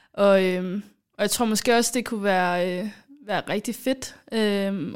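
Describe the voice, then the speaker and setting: Her delivery is very slow, with fairly even intonation. The recording is very clean, the background silent. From Somalia. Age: 20s. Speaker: podcast host, student. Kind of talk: casual chat.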